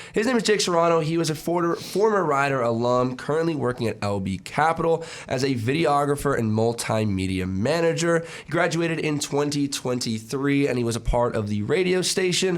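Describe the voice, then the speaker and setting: Over noticeable background noise, a man with a fairly high voice talks at a fairly quick pace with lively intonation and hardly any pauses. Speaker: student radio co-host. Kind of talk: casual interview.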